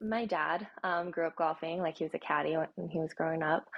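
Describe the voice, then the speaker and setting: A woman speaks at a moderate pace in a normal speaking voice. Her pitch is fairly low. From Japan, Tokyo, then moved to USA at eight. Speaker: golfer and social media personality. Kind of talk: casual chat.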